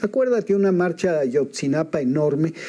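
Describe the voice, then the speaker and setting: Fairly high for a man, his voice has a dark, mellow tone and moves at a moderate pace. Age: 70s. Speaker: political commentator. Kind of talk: political discussion.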